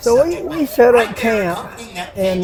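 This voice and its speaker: A man with an Appalachian accent amid audible room echo and crowd noise in the background. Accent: Appalachian Southern US. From western North Carolina, Asheville area. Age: 60s. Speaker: hunter telling a Bigfoot encounter. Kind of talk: storytelling interview.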